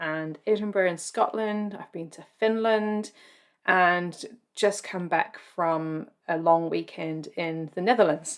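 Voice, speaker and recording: A woman at a medium pitch with fairly even intonation and a very slow pace, in a very clean recording with a silent background. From UK. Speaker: podcast host. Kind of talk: podcast intro monologue; interview.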